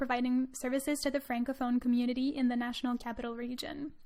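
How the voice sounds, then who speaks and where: A high-pitched woman at a fairly quick pace, with a slight Quebec accent. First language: French. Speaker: podcast host, student. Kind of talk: scripted introduction; podcast interview.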